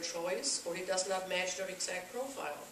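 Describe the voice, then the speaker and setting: A woman with a German accent at a medium pitch, fairly even intonation, and moderate pace, amid audible room echo and noticeable background noise. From Germany. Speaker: political activist group president. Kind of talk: speech at a meeting.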